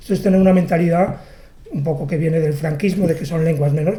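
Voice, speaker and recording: The intonation is fairly even. Room echo is audible. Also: man. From Catalonia, Barcelona. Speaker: poet. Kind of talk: interview. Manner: halting.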